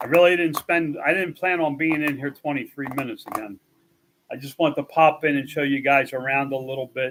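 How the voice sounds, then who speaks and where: At a moderate pace, a man with a normal speaking voice talks with fairly high pitch and fairly even intonation. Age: 60s. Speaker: youtuber showing his 3D print farm. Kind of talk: casual live stream.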